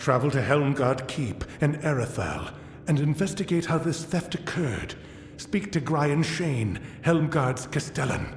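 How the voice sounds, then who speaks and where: Putting on a character voice, a man speaks at a moderate pace with a fairly high pitch, over clear background noise and a slight echo. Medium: video game. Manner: formal, measured.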